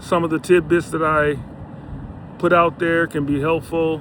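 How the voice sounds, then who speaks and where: A man talks in a relaxed tone at a fairly slow pace, his fairly high pitch flat and monotone. Noticeable background noise runs underneath. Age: 60s. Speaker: health and lifestyle vlogger. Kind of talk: casual vlog monologue. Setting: outdoors on a bike ride by the beach. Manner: relaxed, filler-heavy.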